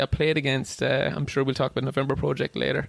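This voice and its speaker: This is a man speaking in an Irish accent. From Ireland, Wexford (southeast). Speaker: ultra runner and cancer researcher. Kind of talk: casual chat.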